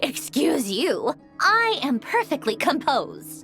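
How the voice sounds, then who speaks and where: Set against clear background music, a put-on character voice at a high pitch moves at a fairly slow pace. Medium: machinima. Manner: curt, aloof.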